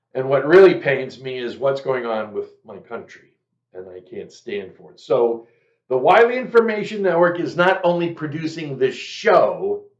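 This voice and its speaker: Big swings in loudness and very wide pitch swings at a moderate pace, with an American accent. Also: man, high pitch for a man. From US Northeast, Boston. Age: 70s. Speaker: political talk show host. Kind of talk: casual monologue. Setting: recorded studio video show. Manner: halting, many fillers.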